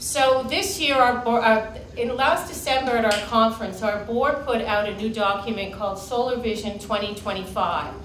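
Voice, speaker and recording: A woman speaks at a moderate pace with hardly any pauses. The room echo is audible, and light background noise sits underneath. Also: ordinary pitch variation. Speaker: keynote speaker. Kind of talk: keynote talk. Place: meeting room.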